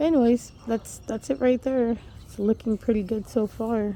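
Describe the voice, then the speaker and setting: A quiet woman speaking at a fairly slow pace. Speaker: home gardener vlogger. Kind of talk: casual garden tour vlog. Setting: outdoors in backyard garden. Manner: hesitant, many fillers; quiet, keeping voice down.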